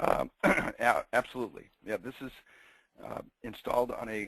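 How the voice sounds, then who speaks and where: A man puts on a raspy, croaky character voice at medium pitch and a moderate pace, with a dry, close sound and no echo. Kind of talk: professional, business call.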